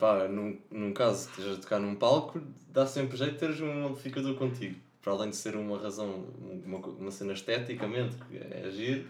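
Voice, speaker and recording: Speaking at a fairly quick pace with ordinary pitch variation, a man with a fairly low pitch is heard over audible room echo. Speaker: podcast co-host. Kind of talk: casual chat.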